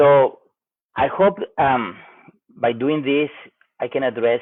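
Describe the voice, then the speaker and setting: A man speaks. He has a Spanish accent. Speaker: cancer patient vlogger. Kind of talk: personal health update vlog. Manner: halting, hesitant.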